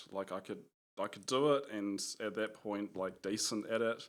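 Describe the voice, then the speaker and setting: A man speaks at medium pitch and a fairly quick pace, with ordinary pitch variation. The recording is very clean, with a silent background. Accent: New Zealand. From New Zealand, Gisborne. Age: 30s. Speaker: software engineer and musician. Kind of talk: podcast interview. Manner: hesitant, many fillers.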